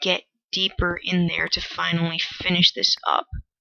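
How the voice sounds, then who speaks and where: Fairly slow delivery comes in a quiet voice. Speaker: gaming video creator. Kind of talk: game commentary. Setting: at home. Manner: quiet, hushed; awkward.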